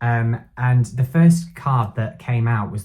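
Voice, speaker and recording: The voice is somewhat breathy with a dark, mellow tone and ordinary pitch variation. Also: man. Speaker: tarot reader. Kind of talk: tarot reading monologue. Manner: halting, filler-heavy.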